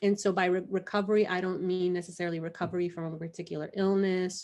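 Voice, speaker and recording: Against a quiet background, a woman with a Spanish accent speaks fairly quickly at a fairly low pitch, her intonation flat and monotone. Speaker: HIV prevention trainer. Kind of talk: online training presentation.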